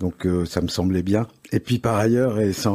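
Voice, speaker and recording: Speaking at a moderate pace with fairly even intonation, a man with a dark, mellow tone has a slight Parisian accent. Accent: slight old Parisian. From Paris, France. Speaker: advertising agency head. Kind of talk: interview. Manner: hesitant, many fillers.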